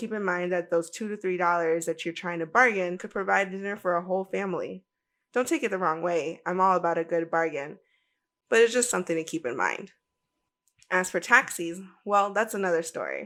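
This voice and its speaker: The voice is bright and sharp, with an animated tone and ordinary pitch variation at a fairly quick pace. The recording is very clean and the background silent. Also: woman, fairly low pitch for a woman. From United States. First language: Spanish. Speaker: travel podcaster. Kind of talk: podcast monologue.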